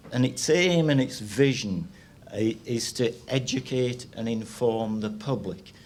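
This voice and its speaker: A man speaks at a medium pitch with ordinary pitch variation and a fairly slow pace. Audible room echo can be heard in the recording. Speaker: retired meat science lecturer. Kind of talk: seminar presentation. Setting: stage with audience. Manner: halting, many repetitions.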